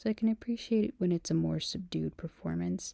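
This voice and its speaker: A soft-spoken woman talks at a moderate pace in a dry, close sound with no echo. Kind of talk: ASMR rambling talk.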